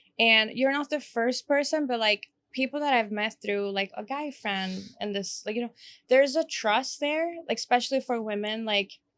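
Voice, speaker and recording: On a very clean recording with a silent background, a woman speaks at a moderate pace. The sound is dry and close with no echo, and her fairly high pitch shows ordinary variation. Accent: Swedish. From Sweden. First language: Swedish. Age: 20s. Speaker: podcast host. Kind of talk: casual chat.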